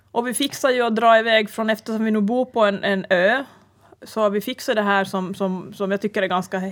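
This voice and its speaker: At a fairly quick pace and with fairly even intonation, an ordinary speaking voice is heard. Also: woman, fairly high pitch for a woman. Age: 40s. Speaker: podcast co-host. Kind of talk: casual chat. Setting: studio.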